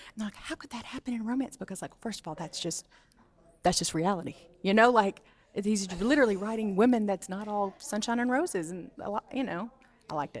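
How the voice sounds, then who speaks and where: Speaking very fast in a strong Southern US accent, the voice sounds animated, with ordinary pitch variation. Its loudness swings widely. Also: woman, medium pitch for a woman. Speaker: book content creator interviewer. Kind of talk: interview. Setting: book event.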